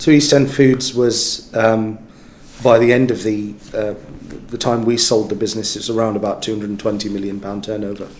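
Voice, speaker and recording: A man at a medium pitch talks fairly quickly with fairly even intonation, amid audible room echo and noticeable background noise. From West Midlands, England. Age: 40s. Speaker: business executive. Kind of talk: interview. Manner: halting, many fillers.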